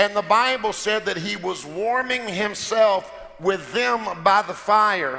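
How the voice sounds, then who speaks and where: A man with a high pitch uses a raised, projected voice at a very slow pace with ordinary pitch variation. Background noise is noticeable. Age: 50s. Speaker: pastor. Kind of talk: sermon. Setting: church. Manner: animated.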